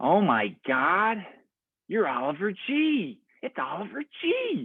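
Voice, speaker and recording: A man puts on a character voice, pitched high for a man. He talks at a fairly slow pace with very wide pitch swings. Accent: American. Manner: excited, gushing.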